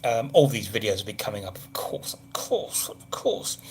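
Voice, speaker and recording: Speaking fairly quickly, a man talks with an English accent. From southern England. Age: 50s. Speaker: travel vlogger. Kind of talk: casual live stream chat. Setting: hotel room. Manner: chatty, rambling, casual.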